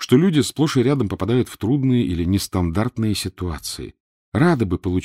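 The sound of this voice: The background stays quiet. Over it, an unforced reading voice moves with lively intonation.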